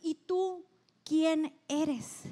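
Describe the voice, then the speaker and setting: A woman's extremely high-pitched voice. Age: 40s. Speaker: pastor. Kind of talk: sermon. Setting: church. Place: stage. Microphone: handheld.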